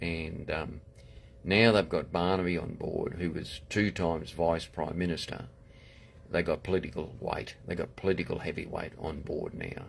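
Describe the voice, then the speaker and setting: Speaking with a Queensland accent, a man uses a very deep, low pitch, fairly even intonation and a moderate pace. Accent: Australian, Queensland. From Australia, far north Queensland. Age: 70s. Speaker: political candidate. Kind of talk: political monologue livestream. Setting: Facebook live video. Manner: halting, many fillers and restarts.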